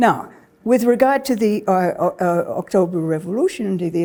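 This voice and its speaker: In a British accent, a woman talks at a moderate pace with a dark, mellow tone, medium pitch and lively intonation. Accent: British-sounding. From Australia. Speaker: historian. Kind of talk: lecture. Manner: halting.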